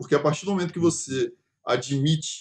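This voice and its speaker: Against a quiet background, a man with a fairly high pitch and a somewhat breathy voice speaks at a moderate pace with ordinary pitch variation. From Brazil, Espírito Santo (Vitória). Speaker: podcast host. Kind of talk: casual chat.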